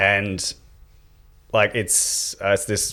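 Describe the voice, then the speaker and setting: This is a man speaking with an Australian accent. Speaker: mental health advocate. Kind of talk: casual chat. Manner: loud.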